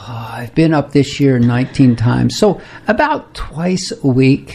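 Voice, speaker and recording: A man speaks at a medium pitch and a fairly slow pace with lively intonation. His loudness swings widely, and there is noticeable background noise. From US Pacific Northwest, Seattle. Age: 80s+. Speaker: retired dentist and saxophonist. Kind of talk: radio interview. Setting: radio studio.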